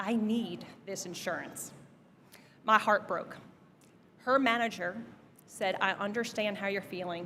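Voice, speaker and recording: A woman with a New Jersey accent speaks in a bright, sharp tone at medium pitch and a moderate pace. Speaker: commencement speaker, business executive. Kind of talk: commencement speech. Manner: direct.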